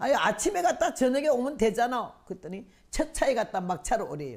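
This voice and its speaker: Her high voice swings very widely in pitch as the woman talks fairly quickly. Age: 80s+. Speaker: missionary revival preacher. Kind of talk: sermon testimony.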